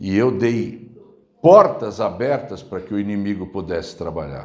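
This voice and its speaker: With an ordinary speaking voice, a man talks at a fairly slow pace and fairly low pitch, using lively intonation. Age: 60s. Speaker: pastor. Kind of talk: sermon.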